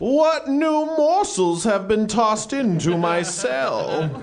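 A man puts on a character voice, high-pitched with very wide pitch swings. He talks at a very slow pace over clear background noise. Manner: menacing, sinister.

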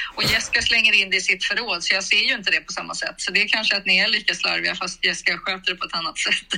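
Speaking at a very fast pace, a woman uses a fairly high voice with ordinary pitch variation. Noticeable background noise sits behind her. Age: 60s. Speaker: mother of the hosts. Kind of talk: casual chat.

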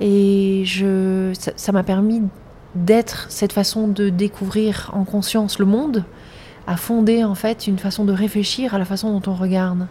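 Speaking at a fairly slow pace, a woman keeps her medium-pitched voice monotone and flat. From grew up in several countries. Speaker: filmmaker and artist. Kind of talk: interview. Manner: halting, frequent repetitions.

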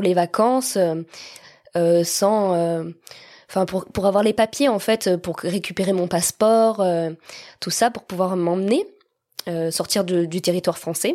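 Recorded very cleanly over a silent background, a woman speaks at medium pitch with a dark, mellow tone. Her pace is fairly slow and her intonation fairly even. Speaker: guest telling adoption story. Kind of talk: personal testimony. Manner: smiling.

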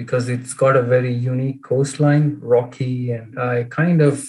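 Somewhat breathy, a man speaks at a moderate pace. His intonation is monotone and flat. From India, Bangalore. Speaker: engineer at a truck maker. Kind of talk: interview. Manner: halting, many fillers.

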